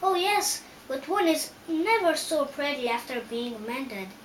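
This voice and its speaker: A woman puts on a character voice, pitched high with very wide swings, over clear background noise. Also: moderate pace. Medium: read story. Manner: timid, gentle.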